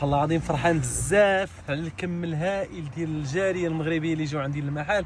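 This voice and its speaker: A man talks at a moderate pace in a fairly high pitch, with ordinary pitch variation. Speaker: perfume shop owner. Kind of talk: casual video message. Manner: animated.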